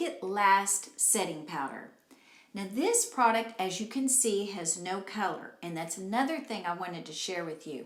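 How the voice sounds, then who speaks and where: Lively intonation marks a woman's speech, heard with audible room echo. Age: 60s. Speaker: beauty vlogger. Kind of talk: tutorial. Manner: casual, conversational.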